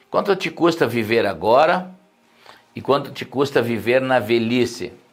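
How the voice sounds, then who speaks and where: Music plays in the background as a man speaks at a fairly slow pace with lively intonation. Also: medium pitch for a man. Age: 60s. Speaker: pastor. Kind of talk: sermon. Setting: live stream.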